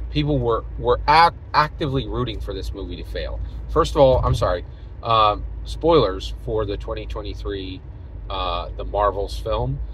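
A man speaks at a fairly slow pace, his loudness swinging widely. The sound is dry with no echo, with light background noise. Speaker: vlogger. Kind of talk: casual vlog commentary. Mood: opinionated, engaged. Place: car. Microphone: phone near.

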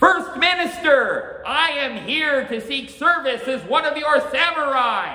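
A man speaks loudly in a put-on character voice pitched extremely high. His fairly slow delivery has hardly any pauses, with a slight echo. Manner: loud, announcing himself.

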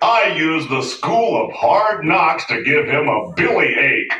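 A man does a cartoonish character voice at a high pitch. He goes at a fairly slow pace, with a slight echo around him. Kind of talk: children's puppet-theatre musical number. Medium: puppet show. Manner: jolly, jokey, triumphant.

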